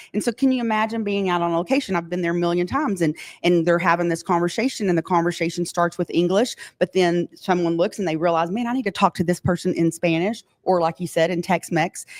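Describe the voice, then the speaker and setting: In a West Texas accent, a woman with a fairly low pitch sounds animated, her pitch varying in an ordinary way, with a dry, close sound and no echo. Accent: West Texas drawl. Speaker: oil and gas tech company representative. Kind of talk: live podcast interview. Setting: live podcast studio at trade show.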